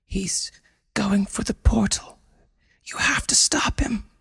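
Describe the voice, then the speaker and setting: A man's raspy, whispering put-on character voice at a fairly slow pace. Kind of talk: urgent.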